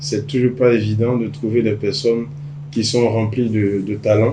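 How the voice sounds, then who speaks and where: A man talks at a medium pitch, with noticeable background noise in the recording. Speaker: podcast host. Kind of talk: podcast interview.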